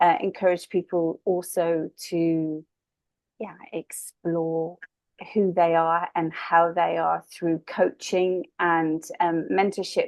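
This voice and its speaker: A woman with an English accent speaks at a very slow pace, her fairly low voice monotone and flat. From southwest England. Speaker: spiritual medium and coach. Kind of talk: interview conversation.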